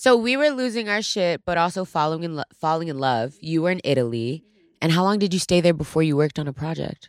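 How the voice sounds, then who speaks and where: A woman at a very fast pace with lively intonation, in a dry, close sound with no echo. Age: 20s. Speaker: podcast co-host. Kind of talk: casual chat.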